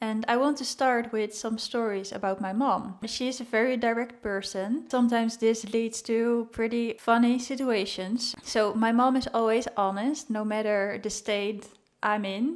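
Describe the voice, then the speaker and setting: Woman with a Dutch accent, fairly high pitch, fairly even intonation and hardly any pauses. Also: moderate pace. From Netherlands. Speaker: vlogger. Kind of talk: casual vlog talk.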